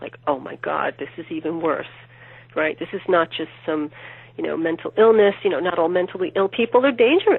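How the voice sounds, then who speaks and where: With an ordinary speaking voice at medium pitch, a woman talks at a fairly quick pace, her intonation lively and her loudness swinging widely. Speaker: true crime author. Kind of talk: interview answer.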